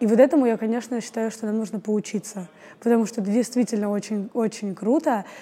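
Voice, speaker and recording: A woman with a fairly high, somewhat breathy voice talks at a very fast pace. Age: 20s. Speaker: actress and acting student. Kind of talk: casual interview. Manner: animated.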